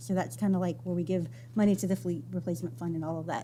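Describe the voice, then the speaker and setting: A woman speaks very fast with a fairly low pitch. Vocal fry runs through her voice. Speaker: school finance staff presenter. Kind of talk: budget presentation. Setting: school board meeting.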